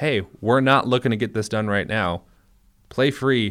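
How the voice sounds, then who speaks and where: An unremarkable speaking voice from a man with an American accent, fairly even intonation and a moderate pace, in a very clean recording with a silent background. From Minnesota. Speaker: sports podcast co-host, newspaper reporter. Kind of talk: casual chat. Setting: studio.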